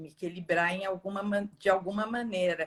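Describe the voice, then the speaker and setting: A woman is speaking. Her voice sounds somewhat breathy. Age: 60s. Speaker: course student. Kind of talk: casual chat.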